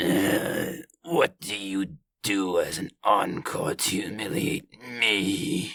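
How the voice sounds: A natural reading voice is heard, with the background staying quiet.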